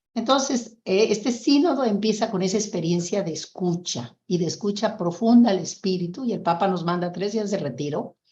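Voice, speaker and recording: Somewhat breathy and dark, mellow in tone, this woman speaks at medium pitch. Her intonation is lively and her pace moderate. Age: 70s. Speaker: nun. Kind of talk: testimony.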